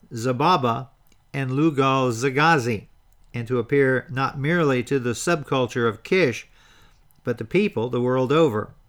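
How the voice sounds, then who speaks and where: On a very clean recording with a silent background, a man with an unremarkable speaking voice talks at a medium pitch and moderate pace with ordinary pitch variation. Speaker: history podcast host. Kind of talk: history documentary narration, scripted. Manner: measured, formal, even-paced storytelling delivery; occasionally stumbles over names and words.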